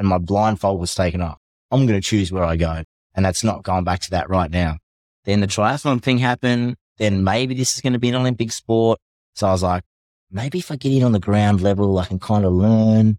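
With an Australian accent, a man speaks fairly quickly at a fairly low pitch, in a very clean recording with a silent background and a dry, close sound with no echo. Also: ordinary pitch variation. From Tasmania, Australia. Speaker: navy veteran and para-athlete. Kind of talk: casual interview.

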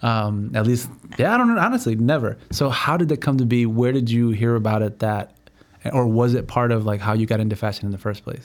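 With an unremarkable speaking voice, a man talks at a fairly quick pace at a medium pitch and with fairly even intonation. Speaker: podcast host. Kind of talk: casual interview.

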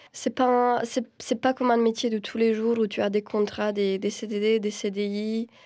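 A woman's fairly high-pitched voice with a dark, mellow tone, very slow and monotone in its flat intonation, on a very clean recording with a silent background. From Romania. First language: Romanian (speaking French). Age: 30s. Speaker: film director and screenwriter. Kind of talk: interview. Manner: halting, many repetitions and fillers.

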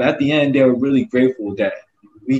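Speaking in a dark, mellow tone, a man with an American accent keeps to a medium pitch. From US South, Augusta, Georgia. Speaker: nonprofit group founder. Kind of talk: casual interview. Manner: repetitive, stumbling.

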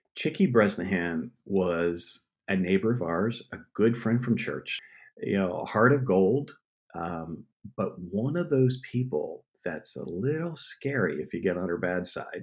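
A man speaks slowly, though only fairly so, in an American accent. His fairly low pitch moves in very wide swings. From Pennsylvania. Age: 50s. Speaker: TV producer. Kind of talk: casual chat.

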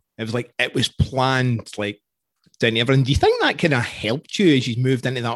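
With a Scottish accent, a man talks at a very fast pace and with ordinary pitch variation. The sound is dry and close, without any echo. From Scotland. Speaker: podcast host. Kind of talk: interview conversation.

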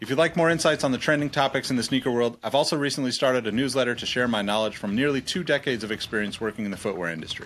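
Over noticeable background noise, the speaker goes at a very fast pace with hardly any pauses and ordinary pitch variation. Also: man, medium pitch for a man. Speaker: podcast host. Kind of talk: scripted intro and outro.

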